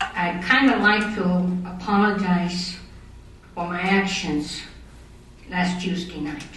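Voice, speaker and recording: Noticeable background noise and audible room echo accompany this recording. A woman with an American accent and medium pitch speaks at a fairly slow pace. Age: 60s. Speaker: citizen speaking at city council meeting. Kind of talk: public comment at council meeting. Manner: halting, with repetitions.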